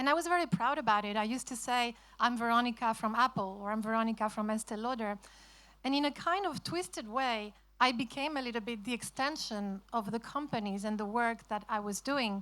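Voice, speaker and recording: A woman with a Spanish accent talks at a fairly quick pace, her fairly high voice bright and sharp in tone. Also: ordinary pitch variation. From Spain. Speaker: author. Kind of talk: festival talk.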